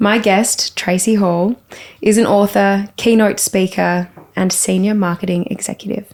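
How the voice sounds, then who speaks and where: The woman's voice sits at a medium pitch. Noticeable background noise can be heard behind it. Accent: Australian. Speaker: podcast host. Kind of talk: podcast interview.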